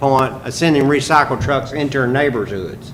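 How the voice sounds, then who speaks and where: Fairly slow speech from a man with a fairly high pitch, amid noticeable background noise and audible room echo. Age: 70s. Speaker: mayor. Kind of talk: council meeting discussion. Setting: city council meeting.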